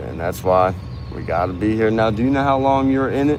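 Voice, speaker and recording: A man with an American accent talks at a fairly quick pace and medium pitch. Room echo and background noise are both noticeable. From Kentucky, rural. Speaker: streamer interviewing protesters. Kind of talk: casual chat.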